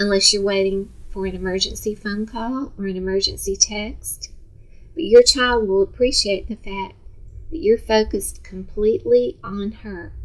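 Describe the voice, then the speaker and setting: A woman in an American accent talks at a moderate pace, with big swings in loudness. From Texas, Dallas. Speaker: retired teacher. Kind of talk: instructional talk to parents. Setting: seated on a sofa.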